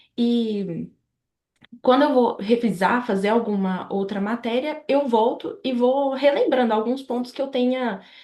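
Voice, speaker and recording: A woman speaks with a high pitch and a dark, mellow tone. Her pace is fairly slow, with ordinary pitch variation. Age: 20s. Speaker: medical student. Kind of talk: interview. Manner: hesitant, many fillers.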